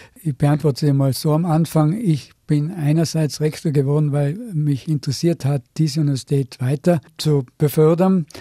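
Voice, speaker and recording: Recorded in a dry, close sound with no echo, a man speaks with a dark, mellow, somewhat breathy tone, very even loudness and ordinary pitch variation. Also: fairly high pitch for a man, moderate pace. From Austria, Tyrol (Innsbruck). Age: 70s. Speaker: university rector, physicist. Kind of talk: radio interview.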